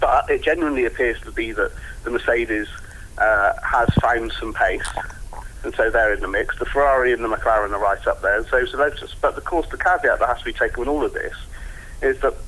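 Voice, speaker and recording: A man speaks at a very fast pace with an English accent. Noticeable background noise is present. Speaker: motorsport journalist. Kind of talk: casual chat.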